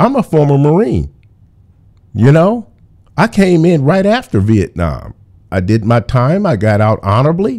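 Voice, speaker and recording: Pausing long and often, a man speaks at a moderate pace with a fairly high pitch, very wide pitch swings and very even loudness. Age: 50s. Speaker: political talk show host. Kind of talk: call-in show talk.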